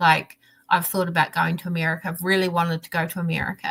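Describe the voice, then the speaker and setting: The speaker is a woman. She talks with a southern New Zealand accent. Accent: southern New Zealand, rolled R's. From New Zealand, South Island (Dunedin area). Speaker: diamond painting crafter. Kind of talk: casual chat. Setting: live stream video call. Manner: animated.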